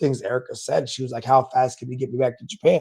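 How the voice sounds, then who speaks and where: The man's voice has a dark, mellow tone. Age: 40s. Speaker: podcast host, retired navy command master chief. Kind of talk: solo podcast monologue. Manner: casual, conversational.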